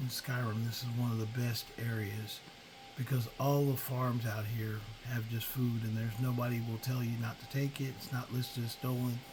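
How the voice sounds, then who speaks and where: A man's medium-pitched, relaxed voice at a moderate pace, flat and monotone, with audible room echo and music in the background. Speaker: gaming video creator. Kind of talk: gameplay commentary. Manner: relaxed, hesitant with fillers.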